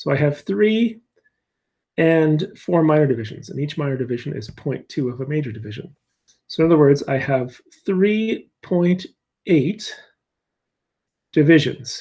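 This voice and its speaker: The voice has a dark, mellow tone, somewhat breathy, with lively intonation broken by long, frequent pauses. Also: man, fairly high pitch for a man, moderate pace. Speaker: physics teacher. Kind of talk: tutorial. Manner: halting.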